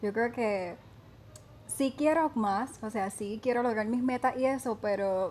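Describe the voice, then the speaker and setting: A woman with a plain, everyday voice speaks at a fairly slow pace, her fairly high pitch showing ordinary variation. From Puerto Rico, Vega Baja. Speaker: beauty pageant contestant. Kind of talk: casual interview.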